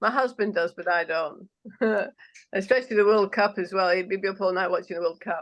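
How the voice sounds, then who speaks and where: With a strong Manchester accent, a woman at medium pitch talks at a fairly quick pace. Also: ordinary pitch variation. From northern England (Manchester, Yorkshire Dales). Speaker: politician. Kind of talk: interview. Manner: normally very fast, moderated here.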